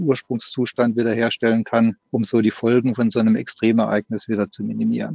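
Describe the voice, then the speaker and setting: A man's voice at a moderate speed. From Baden, southwest Germany. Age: 50s. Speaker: software company executive. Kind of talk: podcast interview.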